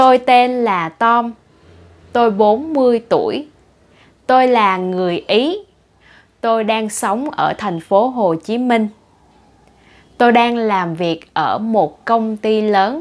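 At a very slow pace with long, frequent pauses, a woman in a Vietnamese accent speaks at a fairly high pitch with ordinary pitch variation. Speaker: language teacher. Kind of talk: tutorial. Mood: cheerful, smiling. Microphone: lapel.

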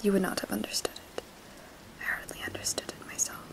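A woman whispers at a very fast pace. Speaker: booktuber, literature student. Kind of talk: ASMR book reading. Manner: whispered, soft-spoken. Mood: gentle, intimate.

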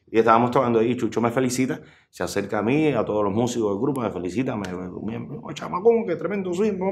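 Audible room echo surrounds a man who speaks at a very fast pace. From Cuba, rural Sancti Spíritus near Trinidad. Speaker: musician. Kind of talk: interview. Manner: halting.

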